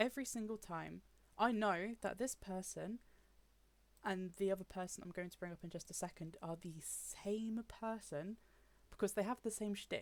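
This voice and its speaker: A woman with a British accent speaks at a medium pitch and a moderate pace, with ordinary pitch variation. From UK. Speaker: gaming YouTuber. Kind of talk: personal commentary. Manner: frustrated, emphatic.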